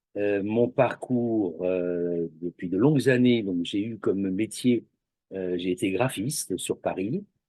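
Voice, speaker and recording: A man with a fairly low voice talks at a very slow pace. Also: ordinary pitch variation. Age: 60s. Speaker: massage practitioner, retired graphic designer. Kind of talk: interview.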